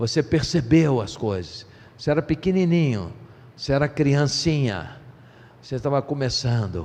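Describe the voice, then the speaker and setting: A man with a plain, everyday voice. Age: 60s. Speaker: pastor. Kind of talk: sermon.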